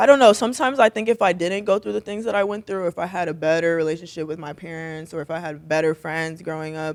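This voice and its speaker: A woman with a fairly low pitch speaks at a very fast pace with hardly any pauses, lively intonation and big swings in loudness. The sound is dry and close, with no echo. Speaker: streamer and entrepreneur. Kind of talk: casual chat.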